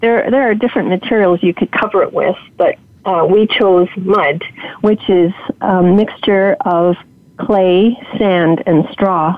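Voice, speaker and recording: The loudness stays very even throughout. There is noticeable background noise. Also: woman, medium pitch for a woman, ordinary pitch variation, fairly slow pace. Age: 70s. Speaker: homesteader, former video producer. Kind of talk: interview, casual chat. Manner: nervous about public speaking.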